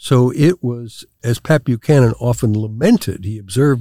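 In a very clean recording with a silent background and a dry, close sound with no echo, a man speaks in a dark, mellow, somewhat breathy tone at a medium pitch with ordinary pitch variation. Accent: American. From New York. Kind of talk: interview.

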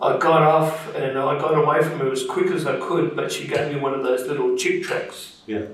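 With an Australian accent, a man talks at a moderate pace over noticeable background noise. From Perth, Western Australia. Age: 60s. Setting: studio.

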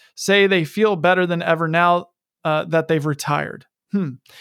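A man's plain, everyday voice at a moderate pace with fairly even intonation, in a dry, close sound with no echo and a very clean recording with a silent background. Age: 40s. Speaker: financial advisor and podcast host. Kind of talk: market update and reading articles aloud with commentary.

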